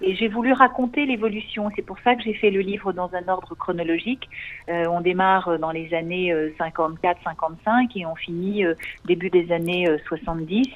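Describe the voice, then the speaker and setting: A woman talks at a medium pitch and a moderate pace. Her pitch variation is ordinary. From USA, New York. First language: English (speaking French). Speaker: author, daughter of a photographer. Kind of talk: radio interview. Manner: hesitant, many fillers.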